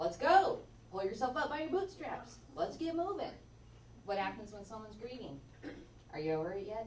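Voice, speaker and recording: A woman at medium pitch speaks in an animated tone at a moderate pace, her pitch swinging very widely. Room echo and noticeable background noise are audible. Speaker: social worker and geriatric mental health therapist. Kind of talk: lecture.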